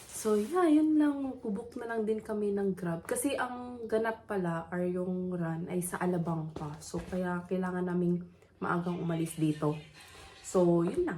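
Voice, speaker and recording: Over noticeable background noise, a woman with a medium-pitched voice speaks at a fairly slow pace with lively intonation. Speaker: vlogger. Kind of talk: casual vlog talk. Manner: toned-down voice, early morning.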